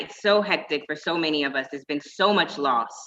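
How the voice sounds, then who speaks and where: A woman talks at a moderate tempo in a normal speaking voice, her intonation lively. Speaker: panel moderator. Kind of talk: panel discussion.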